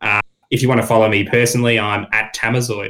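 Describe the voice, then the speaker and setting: A man with an Australian accent talks at a moderate pace. His tone is bright and sharp, and his intonation is monotone and flat. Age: 20s. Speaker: gaming podcaster. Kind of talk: casual chat.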